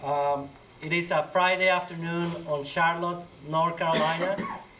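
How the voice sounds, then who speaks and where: Audible room echo surrounds a speaker with a Colombian accent. The pace is fairly slow and the intonation fairly even. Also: man. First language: Spanish. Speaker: community organizer. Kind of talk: talk to church audience. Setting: church hall with audience.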